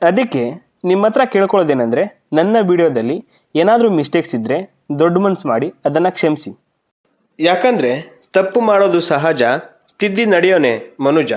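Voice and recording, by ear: Big pitch swings mark this man's fairly high, slightly mellow voice. He talks at a moderate pace.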